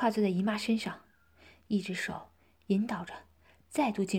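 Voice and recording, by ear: Intonation holds fairly even. The reading aloud is done in a natural voice.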